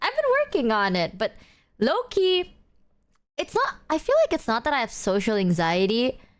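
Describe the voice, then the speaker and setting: Speaking with an Indonesian accent, a woman keeps her loudness very even at a moderate pace. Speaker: vtuber streamer. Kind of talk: casual livestream chat.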